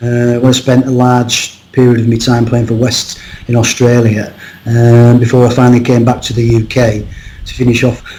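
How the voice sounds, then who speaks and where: A man with a Cumbrian accent talks at a medium pitch and a moderate pace, his intonation monotone and flat. Noticeable background noise can be heard. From northern England, Cumbria. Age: 60s. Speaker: rugby coach and lecturer. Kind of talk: podcast interview. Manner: halting, many fillers and repeats.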